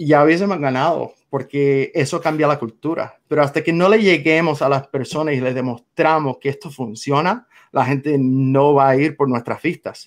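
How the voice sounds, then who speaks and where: A man with a Cuban accent, fairly high in pitch, at a moderate pace with ordinary pitch variation and hardly any pauses. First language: English (speaking Spanish). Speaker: political activist. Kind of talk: interview.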